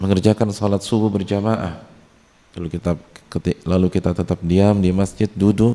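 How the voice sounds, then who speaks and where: Recorded dry and close with no echo, a man speaks at a moderate pace with a fairly low pitch, a dark, mellow tone and fairly even intonation. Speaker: Islamic preacher. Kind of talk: religious lecture. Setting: mosque, audience present.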